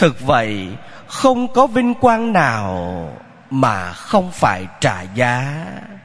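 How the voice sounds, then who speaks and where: A man speaks at a very slow pace with very even loudness. Audible room echo and noticeable background noise fill the recording. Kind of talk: sermon.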